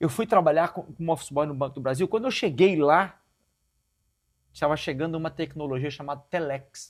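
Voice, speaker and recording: A man with a somewhat breathy voice talks at a fairly quick pace in a very clean recording with a silent background. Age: 50s. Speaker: pastor. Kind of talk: interview conversation. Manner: halting.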